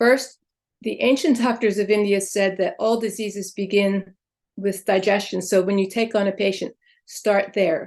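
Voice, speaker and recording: A woman with an unremarkable speaking voice talks at medium pitch and a moderate pace, with fairly even intonation, against a quiet background. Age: 60s. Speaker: Ayurvedic practitioner and chiropractor. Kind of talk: interview.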